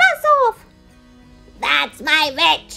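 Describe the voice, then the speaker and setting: A squeaky, put-on character voice at a high pitch, with faint music in the background. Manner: fierce, commanding.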